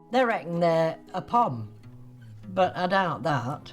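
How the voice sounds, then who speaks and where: Very slow speech with music in the background. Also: woman. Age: 80s+. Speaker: letter writer. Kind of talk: interview answer.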